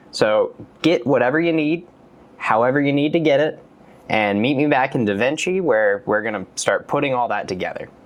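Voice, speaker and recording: Over music in the background, a man with a fairly high pitch speaks at a fairly quick pace, his tone relaxed and his intonation lively. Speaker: YouTube video creator giving a tutorial. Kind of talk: casual instructional talk to camera. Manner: relaxed, conversational.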